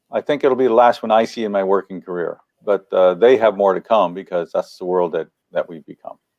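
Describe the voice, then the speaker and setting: A man with a normal speaking voice talks at a fairly low pitch with ordinary pitch variation. His pace is fairly quick, with big swings in loudness. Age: 60s. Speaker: economist. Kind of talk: interview answers.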